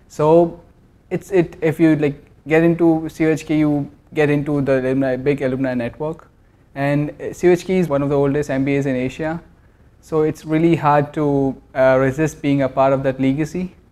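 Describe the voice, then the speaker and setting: A man with an Indian accent, monotone and flat in intonation, at a moderate pace. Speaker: MBA student. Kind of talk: promotional interview. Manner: hesitant, many fillers. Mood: positive, promotional. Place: shop. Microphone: lapel.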